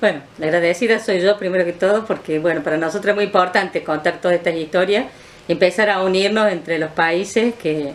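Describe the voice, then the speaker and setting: A woman talks fairly quickly in an ordinary speaking voice of medium pitch with ordinary pitch variation. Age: 60s. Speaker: former political prisoner, retired PE teacher. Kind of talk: interview testimony.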